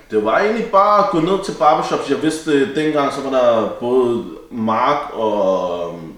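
A man speaks at a medium pitch and a very slow pace with very wide pitch swings. Room echo is audible and background noise is noticeable. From Denmark, Copenhagen (Vesterbro). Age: 20s. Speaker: barber and barbershop owner. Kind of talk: casual chat.

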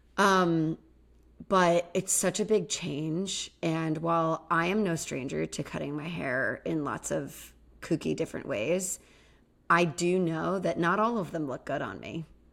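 On a very clean recording with a silent background, a woman with a fairly low pitch and vocal fry uses an animated, playful tone at a fairly slow pace, her pitch varying in an ordinary way. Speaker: licensed therapist and podcast co-host. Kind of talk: casual chat, podcast discussion of reality TV.

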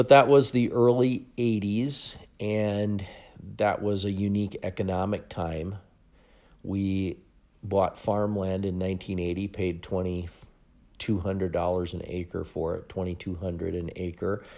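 A man speaks with a dark, mellow tone and fairly even intonation in an Upper Midwest accent. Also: fairly low pitch for a man. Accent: Upper Midwest (Minnesota). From Minnesota, rural farm. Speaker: podcast host, financial coach. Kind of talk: monologue, personal story.

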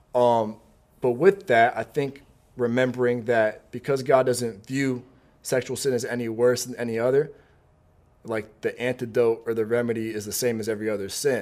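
A man talks in a plain, everyday voice at medium pitch and a moderate pace. His intonation stays fairly even. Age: 20s. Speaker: young adult pastor and preacher. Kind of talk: casual interview Q&A.

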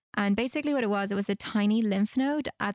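A woman with an Irish accent speaks at a medium pitch. The recording is very clean with a silent background, and the sound is dry and close with no echo. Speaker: sales account executive, cancer survivor. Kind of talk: casual interview, personal story.

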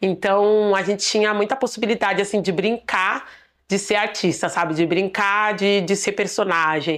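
A normal speaking voice with fairly even intonation at a moderate pace, over a quiet background. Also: woman. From São Paulo outskirts, Diadema. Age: 20s. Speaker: dancer and choreographer. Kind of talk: personal testimony.

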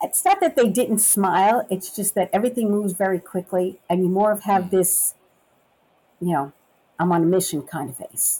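In a New York accent, a woman speaks at a moderate pace with a dark, mellow tone and ordinary pitch variation. The recording is very clean, with a silent background. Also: medium pitch for a woman. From Brooklyn and Long Island, New York. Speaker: customs officer turned supply chain worker, Memphis transplant. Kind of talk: casual interview chat about accents.

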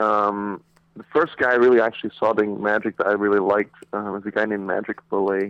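A man talks with an American accent in an unremarkable speaking voice. His pitch is fairly low, his intonation fairly even, and his pace fairly quick. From Saudi Arabia (American school). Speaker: magician. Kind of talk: casual chat. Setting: phone call.

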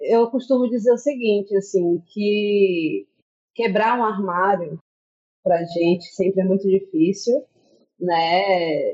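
Speaking at a very slow pace, a woman uses a medium pitch with ordinary pitch variation and very even loudness. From Brazil, Bahia (Juazeiro). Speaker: teacher and researcher. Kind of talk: podcast interview.

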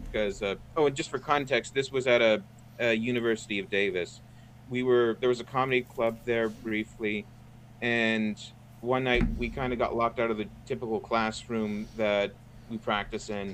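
A man with a normal speaking voice talks at a moderate pace in a medium pitch, his intonation fairly even. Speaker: guest, graphic artist.

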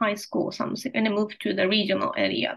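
A woman with a Japanese accent. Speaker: podcast co-host. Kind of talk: casual chat. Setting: video call.

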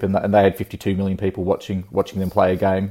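A man with an Australian accent speaks in a dark, mellow tone at a fairly low pitch. His intonation is monotone and flat, on a very clean recording with a silent background. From Australia, rural Victoria. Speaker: esports entrepreneur. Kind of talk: interview. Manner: halting.

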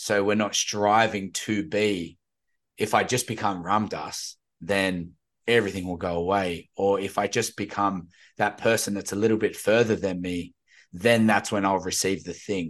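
A man with a normal speaking voice talks at a moderate pace against a quiet background. His pitch is fairly low and his intonation fairly even. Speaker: podcast host. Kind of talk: casual conversation. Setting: video call.

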